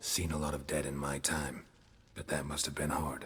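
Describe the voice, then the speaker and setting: Putting on a character voice, a man speaks at a moderate pace in a very deep, low pitch with a monotone, flat intonation while clear background noise runs underneath. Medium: video game. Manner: terse, clipped, dry.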